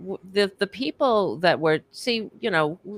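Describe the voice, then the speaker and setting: A woman speaks very slowly in an American accent. The sound is dry and close, with no echo. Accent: New York accent, comes out when angry. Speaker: panelist. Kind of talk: casual chat.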